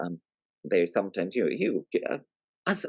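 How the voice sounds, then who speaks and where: Speaking in a Scottish accent, a man has a very deep, low pitch. His sound is dry and close, with no echo. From Scotland. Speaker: writer and storyteller, environmentalist. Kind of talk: podcast interview. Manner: halting, with fillers and repeats.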